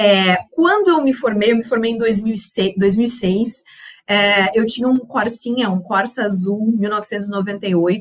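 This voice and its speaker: A woman with a fairly high pitch and a somewhat breathy voice keeps a moderate pace and ordinary pitch variation. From southern Brazil, Rio Grande do Sul (Uruguaiana). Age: 30s. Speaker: panel speaker on women and investing. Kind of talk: personal testimony in a panel talk. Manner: casual, with frequent fillers and repetitions.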